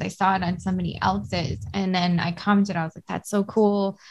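On a very clean recording with a silent background, a woman talks at a medium pitch and moderate pace in a somewhat breathy voice. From Hawaii, Oahu (Kailua). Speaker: real estate investor and mental health counselor. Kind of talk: casual interview chat.

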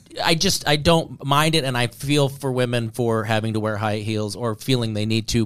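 Medium-pitched male voice at a moderate pace, hardly any pauses, and noticeable background noise. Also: ordinary pitch variation. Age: 40s. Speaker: comedian. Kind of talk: casual chat.

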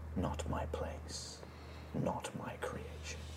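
A man whispers in a put-on character voice. Loud background noise fills the recording. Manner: faint whisper.

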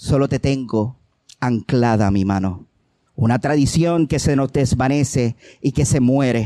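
The voice has a dark, mellow tone and moves at a fairly slow pace with ordinary pitch variation and very even loudness, in a very clean recording with a silent background and a dry, close sound with no echo. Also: man, medium pitch for a man. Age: 40s. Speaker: poet. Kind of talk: poetry reading. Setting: open mic stage with audience.

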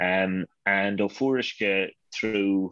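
A man with a western Irish accent. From Ireland, Connemara, County Galway. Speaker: name studies scholar, dictionary co-author. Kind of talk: interview.

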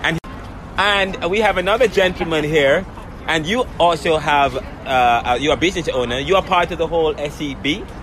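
Over noticeable background noise, a man speaks at a high pitch and a moderate pace with ordinary pitch variation. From Jamaica. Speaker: podcast host. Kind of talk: scripted outro; street interviews. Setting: outdoors.

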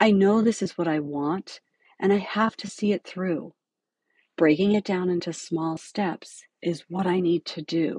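In a dry, close sound with no echo and a quiet background, a woman with an ordinary speaking voice talks fairly slowly at a medium pitch with fairly even intonation. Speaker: podcast host and dental hygiene educator. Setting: podcast recording.

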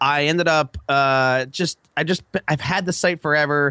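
Against a quiet background, a man with an American accent speaks at a fairly high pitch in a dry, close sound with no echo. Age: 30s. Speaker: online entrepreneur. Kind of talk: casual chat.

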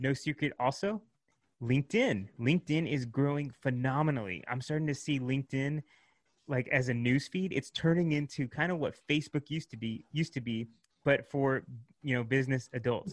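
An unremarkable speaking voice, at a moderate pace with ordinary pitch variation. The background is quiet. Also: man, fairly high pitch for a man. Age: 30s. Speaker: marketing agency founder. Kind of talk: interview.

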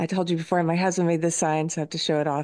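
The recording has a dry, close sound with no echo. A woman speaks with a fairly low pitch. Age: 40s. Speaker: podcast host and guest. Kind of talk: casual chat.

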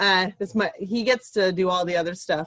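A woman with a plain, everyday voice and an American accent speaks at a moderate pace, fairly low in pitch with fairly even intonation. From Ventura, California. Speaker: true crime podcaster and teacher. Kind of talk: casual chat.

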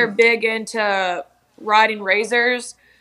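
A woman speaks at a fairly slow pace in a fairly high voice. Her tone is bright and sharp. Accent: American. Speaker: TikTok creator. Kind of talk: casual interview chat.

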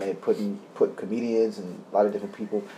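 A man speaks with a New York accent. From New York City (Bronx, Harlem, Queens). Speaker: actor. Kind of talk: casual interview chat.

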